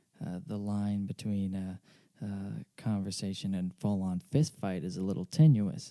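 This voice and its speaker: A soft-spoken, fairly slow delivery with lively intonation. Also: man. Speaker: podcast host and amateur pianist. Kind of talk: casual solo monologue. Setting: home at night, late. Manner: halting, many fillers.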